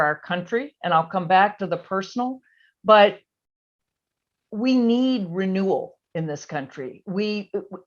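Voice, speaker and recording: A woman with an American accent speaks at a fairly slow pace in an ordinary speaking voice, with medium pitch and lively intonation, over a quiet background. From US South, Virginia. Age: 60s. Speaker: policy analyst and author. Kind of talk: interview. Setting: video call.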